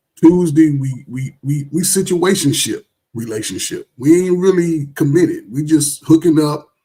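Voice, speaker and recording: A man's somewhat breathy, fairly high voice with a dark, mellow tone. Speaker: caller on live stream. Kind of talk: heated debate. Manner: slow.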